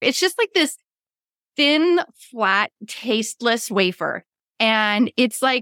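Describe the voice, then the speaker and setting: A woman with an American accent, fairly high pitch and a bright, sharp tone, at a fairly slow pace, in a very clean recording with a silent background and a dry, close sound with no echo. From Pittsburgh area, US. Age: 40s. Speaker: podcast host, subscription box business coach. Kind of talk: casual chat.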